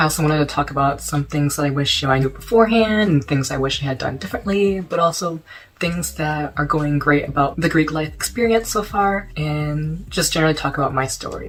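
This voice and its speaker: An unremarkable speaking voice from a man, fairly high in pitch, at a fairly quick pace with hardly any pauses and ordinary pitch variation. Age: young. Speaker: college student, fraternity member. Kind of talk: casual storytime talk to camera.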